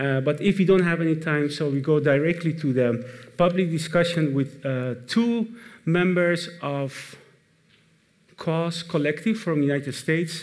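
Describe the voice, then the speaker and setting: Fairly high male voice with a non-native accent, ordinary pitch variation and a fairly slow pace, plus audible room echo. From Iran, then Netherlands. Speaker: moderator. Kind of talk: event moderation to live audience. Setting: stage with audience. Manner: hesitant, many fillers.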